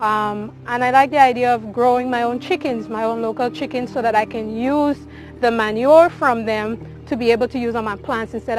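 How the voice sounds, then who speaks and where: With a Caribbean accent and music in the background, a woman talks at a fairly quick pace with hardly any pauses, fairly high pitch and fairly even intonation. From Grenada. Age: 20s. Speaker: aquaponics farmer. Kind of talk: interview answer.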